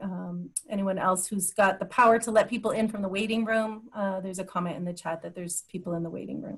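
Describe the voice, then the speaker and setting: A somewhat breathy voice with hardly any pauses, fairly even intonation and big swings in loudness. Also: woman. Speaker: program presenter. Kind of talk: webinar presentation.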